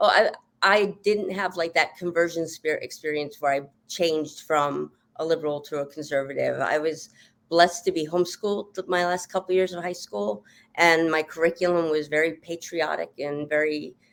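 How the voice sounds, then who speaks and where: An ordinary speaking voice with an American accent comes through at a moderate pace with ordinary pitch variation, in a very clean recording with a silent background. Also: woman, fairly low pitch for a woman. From Montana. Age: 50s. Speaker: political candidate. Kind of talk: interview.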